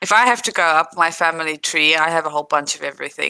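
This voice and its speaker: A woman with a South African accent and a very deep, low pitch talks at a fairly quick pace in a bright, sharp tone with fairly even intonation. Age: 30s. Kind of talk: casual chat. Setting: livestream.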